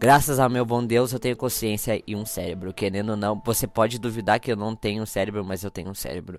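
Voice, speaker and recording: Speaking in an animated tone, a man talks very fast with hardly any pauses. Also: fairly low pitch for a man, very clean recording, silent background. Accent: Brazilian. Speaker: podcast host. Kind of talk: casual solo podcast monologue.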